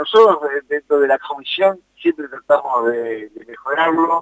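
This man's voice sits at a fairly high pitch. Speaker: youth football coordinator. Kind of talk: interview. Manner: hesitant.

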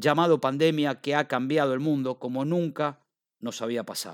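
In an Argentine accent, a man with a fairly high pitch talks at a fairly slow pace, the sound dry and close with no echo on a very clean recording over a silent background. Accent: Argentine Spanish (Rioplatense). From Argentina. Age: 40s. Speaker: podcaster. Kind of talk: personal monologue.

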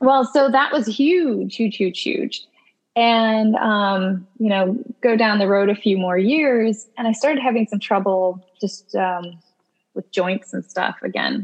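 A woman's fairly high voice with an American accent, at a very slow pace. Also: ordinary pitch variation. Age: 30s. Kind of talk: interview, casual chat.

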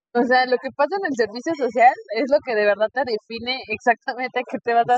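A woman talks fairly quickly at a fairly high pitch in a normal speaking voice. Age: 30s. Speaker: nurse and podcast host. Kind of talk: casual interview. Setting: in person recording.

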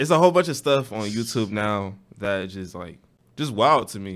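In a very clean recording with a silent background, a man speaks at a moderate pace in a plain, everyday voice, his loudness swinging widely. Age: 20s. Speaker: college radio host. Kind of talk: casual interview.

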